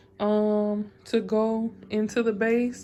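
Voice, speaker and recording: A woman's fairly high voice, dark and mellow in tone, flat and monotone, in a very clean recording with a silent background. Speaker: hair vlogger doing her mom's locs. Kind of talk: casual tutorial vlog. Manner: halting, many fillers.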